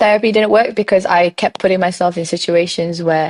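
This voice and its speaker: With a bubbly tone and a fairly low pitch, a woman talks at a fairly quick pace in a dry, close sound with no echo. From Malaysian raised in the UK. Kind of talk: podcast interview answer.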